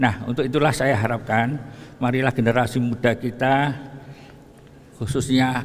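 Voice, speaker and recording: A man talks at a moderate pace. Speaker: preacher. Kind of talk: sermon. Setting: mosque.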